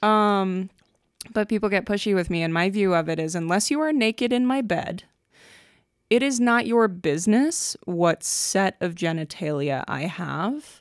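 Her intonation is lively. The woman talks at a fairly slow pace. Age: late 20s. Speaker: podcast co-host. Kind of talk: casual chat.

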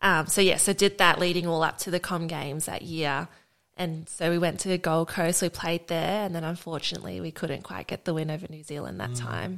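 Speech comes at a fairly quick pace with an Australian accent and vocal fry. The intonation stays fairly even while the loudness swings widely. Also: woman, fairly low pitch for a woman. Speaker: Olympic rugby sevens player. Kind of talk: interview.

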